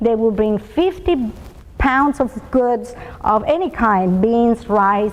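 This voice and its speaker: A woman with a Spanish accent speaks at a high pitch amid noticeable background noise. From Colombia and Venezuela. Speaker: business executive speaker. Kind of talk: motivational talk.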